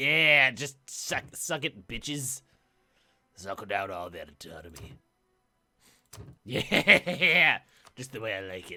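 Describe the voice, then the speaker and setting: Putting on a character voice at a medium pitch, a man speaks fairly slowly with long, frequent pauses while music plays in the background. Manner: creepy, leering, gloating.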